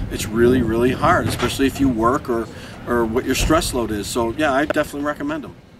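A man talks at a very fast pace in a dry sound with no echo, with noticeable background noise. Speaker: interviewee. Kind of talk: interview answer. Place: street. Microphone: lapel.

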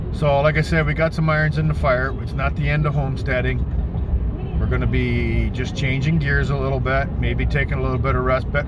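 A man talks over loud background noise. The sound is dry with no echo. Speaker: homesteading vlogger. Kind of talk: casual vlog chat. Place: car. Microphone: phone near.

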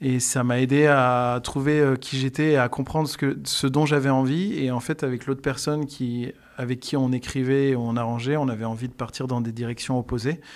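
A man at a moderate pace, with fairly even intonation and hardly any pauses, against a quiet background. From France, Bourbonnais (Allier, near Moulins); France. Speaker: singer-songwriter and music teacher; guest. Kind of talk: radio interview. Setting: radio studio. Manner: hesitant, many fillers. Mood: calm, friendly.

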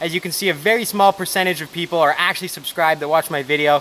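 A man's high-pitched voice at a very fast pace, with ordinary pitch variation and light background noise. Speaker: channel host. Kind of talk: casual vlog chat. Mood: upbeat, friendly. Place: forest.

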